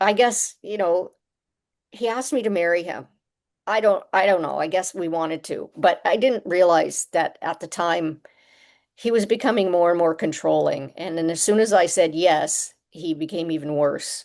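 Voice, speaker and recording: At a moderate pace, a woman with a Canadian accent and a normal speaking voice talks at a fairly low pitch with ordinary pitch variation over a quiet background. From Canada, Toronto. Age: 60s. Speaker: musician and author. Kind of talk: testimony.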